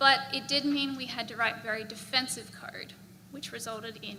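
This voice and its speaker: A woman with an Australian accent speaks in a fairly high voice with ordinary pitch variation, amid noticeable background noise and audible room echo. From Australia, Brisbane. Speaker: software engineer. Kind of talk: conference talk. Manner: casual, filler-heavy.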